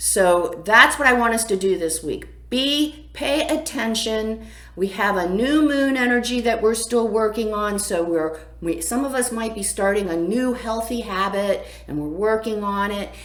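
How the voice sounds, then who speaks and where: A woman with a fairly high pitch speaks at a fairly slow pace with lively intonation, and the room echo is audible. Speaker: astrologer and spiritual coach. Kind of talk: weekly astrology forecast, casual monologue. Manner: loud; animated.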